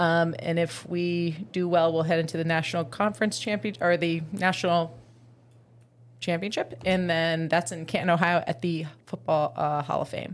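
A woman's ordinary speaking voice, fairly low in pitch, with ordinary pitch variation at a moderate pace. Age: 30s. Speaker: PE teacher and semi-pro football player. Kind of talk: casual chat.

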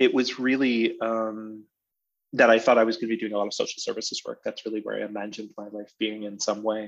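Against a quiet background, a man with an American accent talks at a very fast pace and a medium pitch. His intonation is monotone and flat, yet his loudness swings widely. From western Massachusetts. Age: 40s. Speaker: theater artistic director. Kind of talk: interview conversation. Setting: video call. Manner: halting with many fillers.

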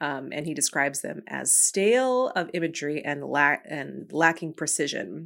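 A woman with a very deep, low pitch and vocal fry, at a fairly slow pace with ordinary pitch variation, in a very clean recording with a silent background. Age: 30s. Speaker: podcast host and DJ. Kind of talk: solo monologue podcast.

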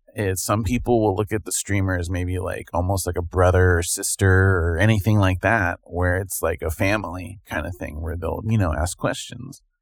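A man's very deep, low voice comes through somewhat breathy. He keeps a moderate pace and fairly even intonation with hardly any pauses. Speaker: podcast co-host. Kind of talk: casual chat.

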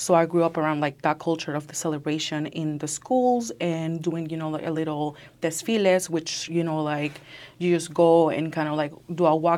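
Her pitch very deep and low, a woman speaks at a moderate pace with fairly even intonation in a very clean recording with a silent background. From Nicaragua. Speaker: university student.

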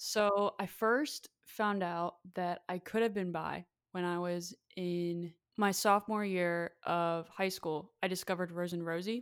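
On a very clean recording with a silent background, a woman with a fairly low pitch and a Pennsylvania accent talks at a fairly slow pace with fairly even intonation. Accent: American (Pennsylvania). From Lancaster, Pennsylvania, US. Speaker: singer-songwriter. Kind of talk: interview.

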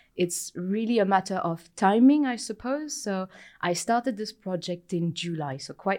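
A woman with a French accent talks at a moderate pace with lively intonation, in a very clean recording with a silent background. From France. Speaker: materials science researcher. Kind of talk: interview.

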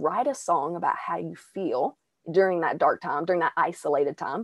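Recorded with a dry, close sound and no echo, a woman speaks at a moderate pace in an Arkansas accent. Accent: Southern US, Arkansas long i. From Arkansas, US South. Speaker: singer and mental health podcaster. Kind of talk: casual interview.

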